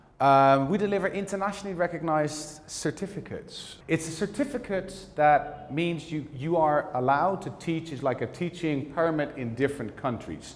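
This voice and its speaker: Audible room echo surrounds a man with a Dutch accent and fairly high pitch. He keeps a moderate pace with hardly any pauses and ordinary pitch variation. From Netherlands. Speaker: teacher trainer. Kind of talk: lecture.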